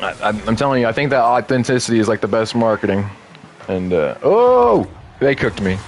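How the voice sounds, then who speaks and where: Over noticeable background noise, a man with an American accent talks at a fairly quick pace with ordinary pitch variation. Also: medium pitch for a man. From Texas. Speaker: gaming streamer, military veteran. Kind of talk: casual live-stream gaming commentary. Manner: casual, halting with fillers.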